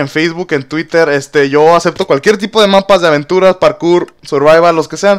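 Animated and high-pitched, a man with a Mexican accent speaks at a moderate pace. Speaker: gaming youtuber. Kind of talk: gameplay commentary.

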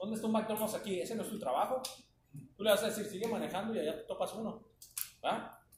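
A man with a high voice talks at a very fast pace broken by long, frequent pauses, with audible room echo and light background noise. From Mexico. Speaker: flagger safety instructor. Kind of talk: training class. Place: classroom. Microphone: camera far.

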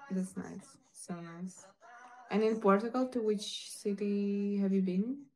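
Over light background noise, a woman speaks at a very slow pace with fairly even intonation. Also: medium pitch for a woman. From Ukraine. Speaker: live streamer. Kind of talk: casual live-stream chat with viewers. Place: home room. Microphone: phone near.

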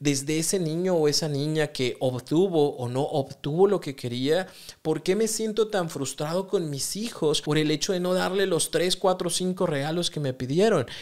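Against a quiet background, a man talks fairly slowly in a fairly high voice with ordinary pitch variation. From Mexico. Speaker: psychotherapist podcast host. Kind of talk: solo podcast monologue on self-help. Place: studio. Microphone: studio mic.

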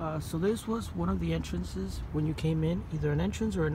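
A man's fairly quick speech, dry with no echo, amid noticeable background noise. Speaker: explorer vlogger. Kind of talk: casual vlog commentary. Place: street. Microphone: phone near.

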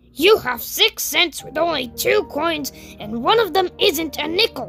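Over music in the background, a woman puts on a character voice at a moderate pace. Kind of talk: read-aloud bedtime story. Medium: read story. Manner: slow, simple. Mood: puzzled.

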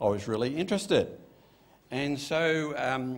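In an Australian accent, a man speaks with a fairly high pitch. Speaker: pastor. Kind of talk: sermon. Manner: casual, conversational. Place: church. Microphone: podium.

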